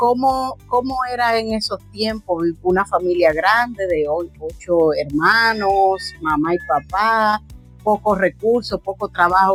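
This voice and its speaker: With music in the background, a woman speaks at a very slow pace, her medium pitch showing ordinary variation. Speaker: family interviewer. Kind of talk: interview questions.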